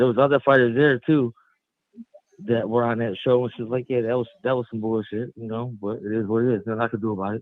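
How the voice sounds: Fast speech from a medium-pitched man, dry and close with no echo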